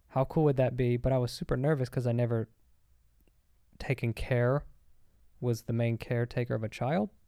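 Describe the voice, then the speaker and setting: On a very clean recording with a silent background, a man with an American accent speaks at medium pitch in a dark, mellow tone. He talks at a fairly quick pace with long, frequent pauses and fairly even intonation. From US South, Arkansas. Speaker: podcast co-host. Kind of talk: casual chat.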